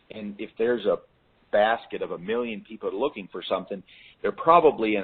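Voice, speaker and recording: The man here speaks at a fairly quick pace. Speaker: business coach. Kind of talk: coaching call Q and A. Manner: halting, repeats words.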